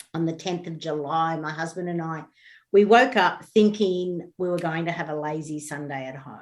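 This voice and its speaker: With an Australian accent, a woman talks at a moderate pace in a fairly low pitch. Her pitch varies in an ordinary way while her loudness swings widely. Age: 60s. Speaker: bereaved parent, author. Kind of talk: interview testimony.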